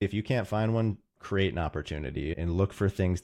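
A man with a very deep, low voice and an American accent, lively intonation, a moderate pace, and a quiet background. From US Midwest, Roseville, Minnesota. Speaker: consultant, consulting firm co-founder. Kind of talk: interview conversation.

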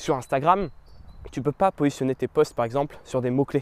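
The tone is animated, with ordinary pitch variation and a fairly quick pace. The sound is dry and close, with no echo. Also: man. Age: 20s. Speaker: YouTube coach podcaster. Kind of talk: solo podcast monologue. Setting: outdoors in a park.

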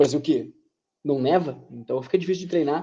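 The dark, mellow tone comes at a moderate pace with ordinary pitch variation. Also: man. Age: 20s. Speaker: podcast co-host. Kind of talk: educational podcast chat.

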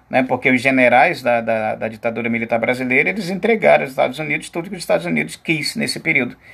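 Vocal fry is heard in a man's voice. His intonation is lively. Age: 50s. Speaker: teacher. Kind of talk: lecture.

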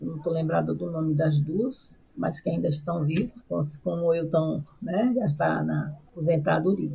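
Over noticeable background noise, a woman speaks at a fairly slow pace with hardly any pauses. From Brazilian Northeast. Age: old. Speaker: retired pastor. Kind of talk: interview.

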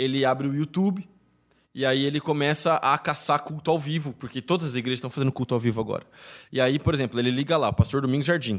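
Ordinary pitch variation marks this man's fairly high voice. He talks at a very fast pace. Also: very clean recording, silent background. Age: 20s. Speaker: pastor. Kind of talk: casual chat.

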